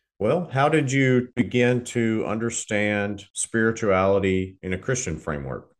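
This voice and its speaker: Against a quiet background, a man with an American accent speaks in a normal speaking voice at medium pitch, with lively intonation and hardly any pauses. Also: fairly slow pace. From US South, Southern Arkansas. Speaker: podcast host. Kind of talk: scripted outro; interview conversation.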